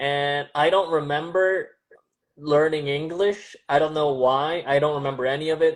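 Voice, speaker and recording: In a Californian accent, a man speaks at a moderate pace with fairly even intonation. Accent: General American, California. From Southern California (Glendale), from age 7; born in Seoul. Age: 30s. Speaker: stand-up comedian. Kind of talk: casual interview chat.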